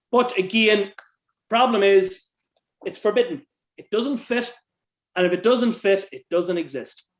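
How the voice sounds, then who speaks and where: A man speaks in an Irish accent. His pace is moderate. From Ireland. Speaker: author and researcher. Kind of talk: interview conversation.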